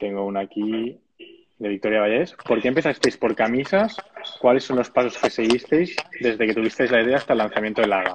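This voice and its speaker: This man has an unremarkable speaking voice, medium in pitch, with ordinary pitch variation and a fairly quick pace. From Catalonia, Spain (Sabadell). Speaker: webinar host. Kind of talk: interview.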